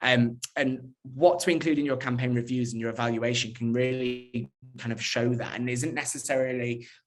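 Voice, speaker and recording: A man speaks with fairly even intonation in a room with audible echo. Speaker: digital PR professional at a fashion brand. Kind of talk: conference talk. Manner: fast.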